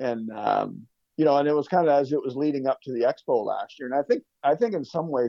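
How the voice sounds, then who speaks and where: A man with a Canadian accent has a normal speaking voice, a fairly high pitch, and ordinary pitch variation. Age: 50s. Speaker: lawn care business owner. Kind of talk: casual chat.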